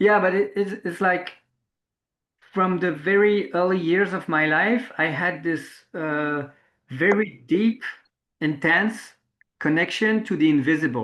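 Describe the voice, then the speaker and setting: With a French accent, a man speaks in a high voice at a fairly slow pace, leaving long, frequent pauses. His pitch varies in an ordinary way, and the background is quiet. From France. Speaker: interviewer, permaculture practitioner. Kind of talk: reflective interview conversation. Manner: halting, searching for words.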